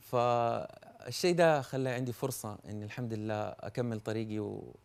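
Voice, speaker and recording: Speech in a Hejazi accent comes at a fairly slow pace with ordinary pitch variation. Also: man, medium pitch for a man. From Saudi Arabia, Hejaz. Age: young. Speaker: poet. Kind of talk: TV interview. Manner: halting, repeats words.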